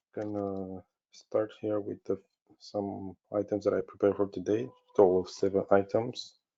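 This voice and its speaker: Speaking at a fairly slow pace, a man keeps a monotone, flat intonation. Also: long, frequent pauses. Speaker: software company webinar presenter. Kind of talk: product webinar presentation. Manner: hesitant, many fillers.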